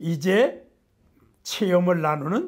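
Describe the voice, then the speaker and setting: This is a man speaking. His pitch sits high. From Korea, Gangwon Province. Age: 80s+. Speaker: nutrition professor. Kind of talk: lecture to camera.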